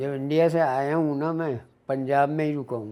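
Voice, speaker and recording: A man's fairly high-pitched voice with a dark, mellow tone and fairly even intonation. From India, Lucknow. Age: 80s+. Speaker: embroidery craftsman. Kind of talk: personal testimony.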